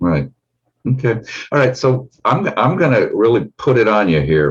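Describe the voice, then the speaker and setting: This man has a medium pitch with very wide pitch swings and vocal fry, speaking at a moderate pace with very even loudness. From Denmark. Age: 70s. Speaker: therapist and show host. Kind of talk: interview chat.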